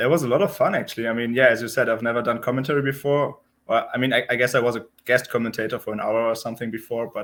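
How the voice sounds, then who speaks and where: Speaking at a very fast pace, a man uses a medium pitch with fairly even intonation. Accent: German. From Germany, Berlin. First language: German. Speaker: professional poker player. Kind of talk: interview.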